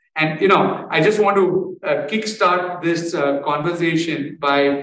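In an unremarkable speaking voice, a man speaks at a moderate pace with fairly high pitch and fairly even intonation. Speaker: interviewer. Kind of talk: formal interview, moderating.

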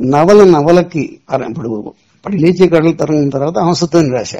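High male speech of dark, mellow tone, with ordinary pitch variation. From Andhra Pradesh, Visakhapatnam district. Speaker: novelist and film writer. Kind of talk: interview.

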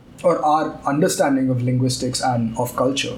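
Amid audible room echo and noticeable background noise, a man speaks at a moderate pace and medium pitch with ordinary pitch variation. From India, Tamil Nadu (Chennai). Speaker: podcast co-host. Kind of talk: casual chat.

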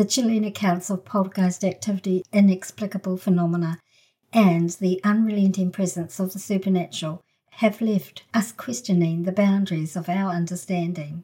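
A somewhat breathy woman with a New Zealand accent, dark, mellow tone, medium pitch, fairly even intonation and a moderate pace. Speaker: podcast host. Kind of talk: scripted intro narration.

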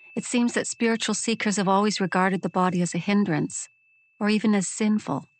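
A woman's ordinary speaking voice, medium in pitch, with ordinary pitch variation. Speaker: questioner reading a dialogue. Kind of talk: reading aloud.

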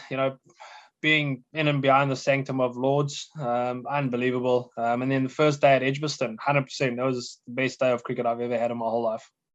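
At a fairly quick pace, a man talks with a medium pitch. His intonation stays monotone and flat. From South Africa. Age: 40s. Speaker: cricket coach. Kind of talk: casual chat. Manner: halting.

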